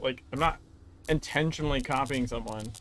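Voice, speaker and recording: Lively intonation marks this fairly quick delivery. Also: man. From moved around the US, born in California. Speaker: gaming streamer. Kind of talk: casual gameplay commentary. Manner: halting, many fillers.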